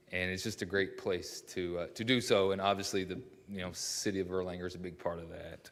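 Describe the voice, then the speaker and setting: A man with a Kentucky accent, with audible room echo. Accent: rural Kentucky twang. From Kentucky (Mount Sterling, east of Lexington). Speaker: local business owner. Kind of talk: public address at a city council meeting. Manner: hesitant, many fillers.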